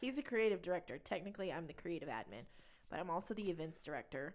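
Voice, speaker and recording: A woman with an American accent speaks at a fairly quick pace. Her pitch sits fairly low, with ordinary variation. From Texas (Plainview). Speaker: podcast co-host. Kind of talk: casual chat.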